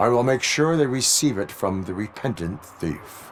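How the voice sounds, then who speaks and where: A man puts on a character voice at medium pitch and a moderate pace. Clear background noise can be heard. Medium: video game. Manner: flat, formal, literal.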